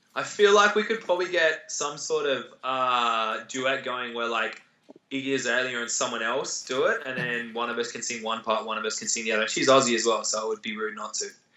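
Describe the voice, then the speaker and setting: Intonation is lively as a man speaks at a fairly quick pace. His pitch is medium. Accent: Australian. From Australia. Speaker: competitive athlete. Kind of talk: interview answers.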